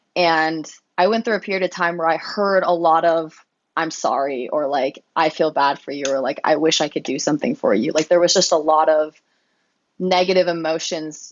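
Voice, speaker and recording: A woman with an American accent, a normal speaking voice, fairly low pitch, ordinary pitch variation and a moderate pace. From US, Colorado. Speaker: pro cyclist. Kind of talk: interview. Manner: casual, filler-heavy.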